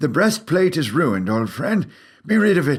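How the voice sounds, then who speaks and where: A man's put-on character voice with very wide pitch swings at a moderate pace, in a very clean recording with a silent background. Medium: read story. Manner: gentle, measured, hesitant.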